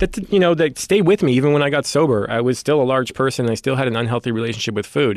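The delivery is very fast, with hardly any pauses. The intonation is lively. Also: man, medium pitch for a man. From San Francisco Bay Area, US. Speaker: guest co-host in addiction recovery. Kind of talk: casual chat.

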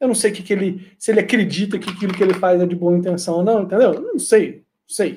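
A man's high-pitched voice, dark and mellow in tone, at a very fast pace. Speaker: law professor, research group leader. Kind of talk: casual discussion, online livestream. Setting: at home, live video stream. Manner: halting, many repetitions.

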